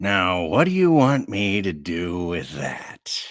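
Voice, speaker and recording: A man puts on a character voice with a very deep, low pitch and a fairly slow pace. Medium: read story. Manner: brash, sardonic.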